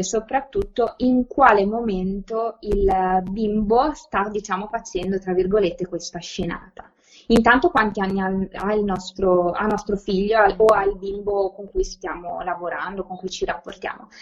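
A woman talks fairly slowly, her voice sitting at a medium pitch and rising and falling in an ordinary way. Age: 20s. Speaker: educator, learning disorders specialist. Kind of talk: podcast interview. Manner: halting, many repetitions and fillers.

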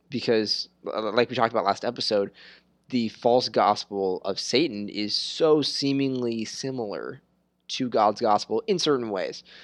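This man's delivery is fairly slow. The rise and fall of his pitch is ordinary. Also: medium pitch for a man. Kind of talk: casual chat about scripture. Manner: halting, repeats words.

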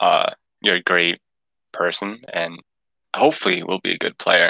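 Recorded with a dry, close sound and no echo, a man talks at a moderate pace. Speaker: podcast co-host. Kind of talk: casual podcast interview.

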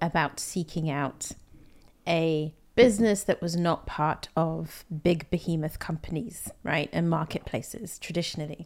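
On a very clean recording with a silent background, a woman speaks in a London accent. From London, UK. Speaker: podcast host. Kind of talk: casual interview chat.

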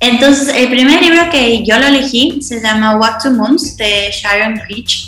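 Here a woman talks fairly slowly in a high voice. Noticeable background noise can be heard. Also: ordinary pitch variation, hardly any pauses. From Ecuador. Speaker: rural doctor. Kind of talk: casual chat.

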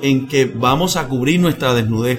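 Male speech at a moderate pace with ordinary pitch variation, audible room echo and noticeable background noise. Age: 40s. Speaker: pastor and missionary preacher. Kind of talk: interview conversation. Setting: church.

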